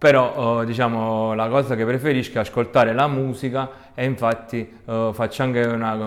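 This man keeps to a moderate pace. His voice sits at a medium pitch. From southern Italy, province of Salerno. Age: 30s. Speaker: architecture graduate, beach resort worker. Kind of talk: personal monologue. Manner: hesitant, with many fillers.

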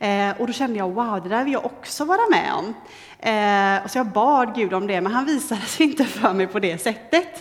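With lively intonation and a fairly high pitch, a woman talks in a room with audible echo. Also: moderate pace. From western Sweden, near Gothenburg. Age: 30s. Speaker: lay preacher, trainee judge. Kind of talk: sermon.

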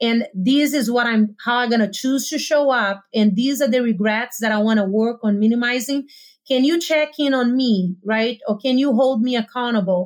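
This woman's high voice keeps ordinary pitch variation and very even loudness at a moderate pace. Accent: Portuguese. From Brazil, small town. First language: Portuguese. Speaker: life coach. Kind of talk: casual interview conversation.

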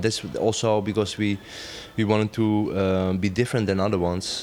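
A man with a Dutch accent speaks in a monotone, flat intonation against noticeable background noise. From Netherlands, Amsterdam. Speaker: dancer and choreographer. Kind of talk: interview.

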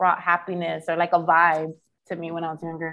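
A woman with a fairly low pitch talks in an American accent. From Philadelphia, US (born Washington Heights). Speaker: journalist and podcaster. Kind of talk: casual interview chat. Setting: video call, speaking from Dominican Republic.

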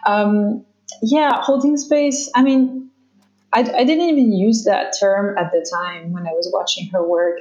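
A woman's lively intonation at a moderate pace. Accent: French. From France. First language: French. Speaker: somatic therapist and former dancer. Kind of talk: casual interview. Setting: video call. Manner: halting.

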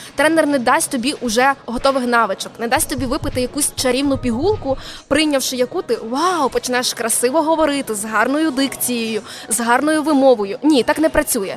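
A woman with a high pitch talks at a moderate pace with ordinary pitch variation. Noticeable background noise is present. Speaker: soft skills and public speaking coach. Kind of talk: casual interview. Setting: live broadcast from a mobile studio at a venue.

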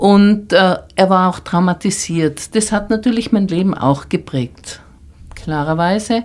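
Speaking very slowly, a woman uses a medium pitch with ordinary pitch variation. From Tyrol, Austria. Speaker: artist. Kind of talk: interview.

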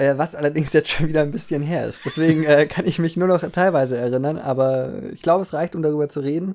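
Talking at a very fast pace, a man leaves hardly any pauses. His intonation is fairly even. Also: fairly high pitch for a man. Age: 20s. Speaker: podcast co-host. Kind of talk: casual chat.

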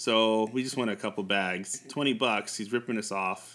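On a very clean recording with a silent background, a man with an American accent and an unremarkable speaking voice talks at a moderate pace. His pitch is medium and his intonation fairly even. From US, New York. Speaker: language podcast host. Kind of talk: language lesson.

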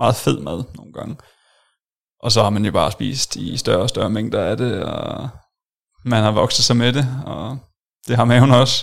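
A man with vocal fry speaks at a medium pitch and a fairly slow pace, with ordinary pitch variation. His loudness swings widely, and he leaves long, frequent pauses. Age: 20s. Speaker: software developer, former weight-loss client. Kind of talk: interview testimony. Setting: studio.

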